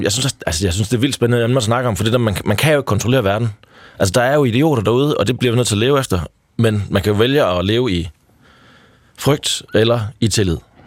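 A man talks at a very fast pace. His loudness stays very even. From Denmark, Triangle Region (Jutland). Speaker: founder of a hitchhiking community. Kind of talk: radio interview. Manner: hesitant, many fillers.

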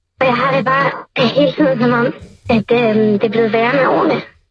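A woman speaks in a high voice. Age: 20s. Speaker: anonymous secret-sharer. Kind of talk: personal testimony.

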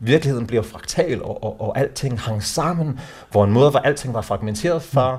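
This man's voice sits at a medium pitch. It sounds somewhat breathy. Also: ordinary pitch variation, moderate pace. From South Africa. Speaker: men's organisation co-founder. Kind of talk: interview. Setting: at home. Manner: halting.

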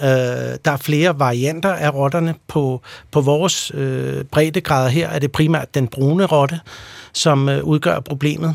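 A man's unremarkable speaking voice, fairly high in pitch, with fairly even intonation at a fairly slow pace. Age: 40s. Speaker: pest control company executive. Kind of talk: radio interview.

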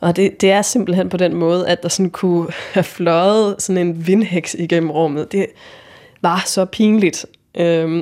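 At a fairly slow pace, a woman with a fairly low pitch speaks in very even loudness and fairly even intonation. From Jutland, Denmark (Vojens). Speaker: interviewee telling personal story. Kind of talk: personal narrative testimony. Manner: halting, many fillers.

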